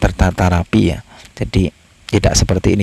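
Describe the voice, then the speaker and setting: Captured with a dry, close sound and no echo, a man with a very deep, low voice speaks at a moderate pace with fairly even intonation. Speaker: travel and history vlogger. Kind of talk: walking vlog narration. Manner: halting, many fillers.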